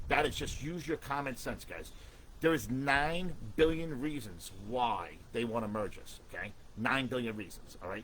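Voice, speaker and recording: At a moderate pace, a man of medium pitch talks in an animated tone with lively intonation and big swings in loudness. Audible room echo surrounds his voice. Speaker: union activist livestream host. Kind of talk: livestream talk to union members. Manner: usually loud.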